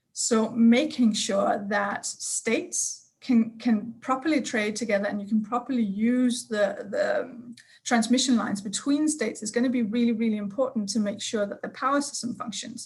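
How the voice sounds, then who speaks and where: With a Danish accent and a fairly high voice, a woman speaks at a moderate pace with fairly even intonation and hardly any pauses against a quiet background. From Denmark. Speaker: energy sector expert. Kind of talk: panel discussion.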